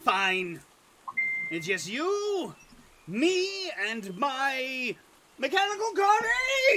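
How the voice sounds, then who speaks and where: A man puts on a character voice at an extremely high pitch with very wide pitch swings. He goes very slowly, with long, frequent pauses. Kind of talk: tabletop game master voice. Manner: sing-song, falsely cheerful, menacing.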